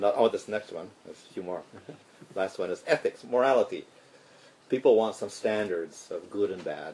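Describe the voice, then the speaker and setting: Big swings in loudness mark a man's fairly slow speech. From Canada. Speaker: monk and spiritual teacher. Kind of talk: lecture. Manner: short phrases paused for translation.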